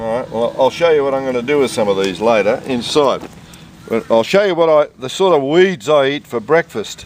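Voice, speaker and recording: With an Australian accent, a man talks at a fairly quick pace and with lively intonation against noticeable background noise. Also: medium pitch for a man. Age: 60s. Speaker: home gardener. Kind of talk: casual chat.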